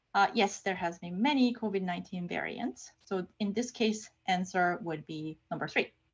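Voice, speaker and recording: A woman speaks in a somewhat breathy voice with a non-native accent. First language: not English. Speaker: research scientist and lecturer. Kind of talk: lecture. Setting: online lecture. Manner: casual, with frequent fillers and repetitions.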